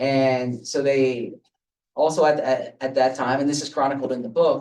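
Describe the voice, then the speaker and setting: The voice has an American accent and fairly even intonation. It is a plain, everyday voice. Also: man. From suburban Philadelphia. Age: 30s. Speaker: sports journalist and author. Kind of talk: author talk with audience Q&A. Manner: repeats words often.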